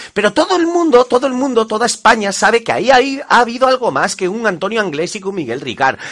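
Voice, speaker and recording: A man talks with an animated tone at a very fast pace, with hardly any pauses and an extremely high pitch. His very wide pitch swings come over noticeable background noise. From Spain. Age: 40s. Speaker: guest commentator. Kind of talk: interview.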